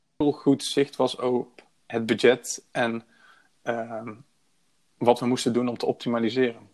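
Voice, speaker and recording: On a very clean recording with a silent background, a man speaks at a fairly slow pace in a monotone, flat intonation, leaving long, frequent pauses. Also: medium pitch for a man. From Breda, Netherlands. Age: 20s. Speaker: project manager. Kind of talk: podcast interview.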